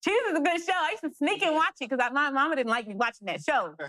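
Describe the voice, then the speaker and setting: Recorded with a dry, close sound and no echo, a woman with an American accent speaks in a bright, sharp tone with lively intonation. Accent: thick country. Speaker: independent filmmaker and actress. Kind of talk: interview. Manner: fast.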